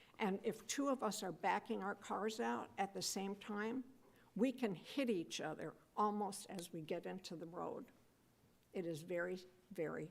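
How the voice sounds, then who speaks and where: Female speech marked by vocal fry, with ordinary pitch variation. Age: old. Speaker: public commenter at city council meeting. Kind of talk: public comment at council meeting. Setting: council chamber meeting.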